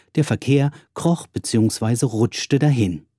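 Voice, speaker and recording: Dark and mellow, a man's voice comes through a very clean recording, dry and close with no echo and a silent background. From Berlin, Germany. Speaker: musician and podcaster. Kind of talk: scripted narration. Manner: formal.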